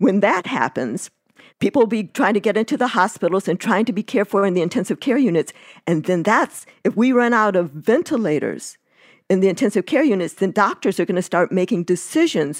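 In a normal speaking voice, someone talks at a fairly quick pace with lively intonation, the sound dry and close with no echo, on a very clean recording with a silent background. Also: woman, medium pitch for a woman. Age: 60s. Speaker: epidemiologist and family physician. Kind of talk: interview.

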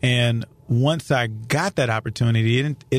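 A man with an American accent speaks in an unremarkable speaking voice, his pitch varying in an ordinary way. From St. Louis area, Missouri. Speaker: county prosecutor. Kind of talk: interview. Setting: studio.

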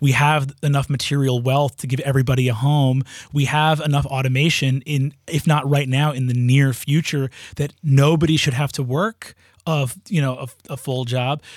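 A man with an American accent and a normal speaking voice talks at a moderate pace, fairly high in pitch, with fairly even intonation. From New York. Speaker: improv comedian and teacher. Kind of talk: casual interview conversation.

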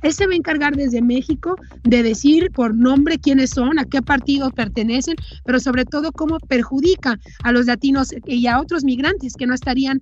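The pace is moderate. Pitch variation is ordinary. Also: woman. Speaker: political commentator. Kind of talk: editorial commentary.

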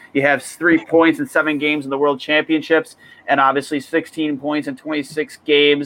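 Flat, monotone intonation at a fairly quick pace. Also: man, dry, close sound with no echo. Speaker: hockey podcast host. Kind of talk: casual chat. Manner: loud.

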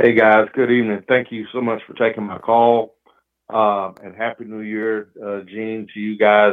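A man talks with an American accent and a fairly low pitch. His intonation stays monotone and flat. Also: big swings in loudness. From Oklahoma, US. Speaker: caller, longtime fan. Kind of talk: heated rant. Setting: phone call. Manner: angry, bitter, loud.

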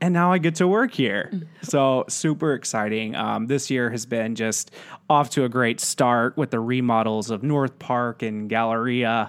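A man with an American accent and an unremarkable speaking voice, medium in pitch with ordinary pitch variation, at a fairly slow pace in a very clean recording with a silent background. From West Texas (San Angelo). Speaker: marketing director. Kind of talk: casual interview.

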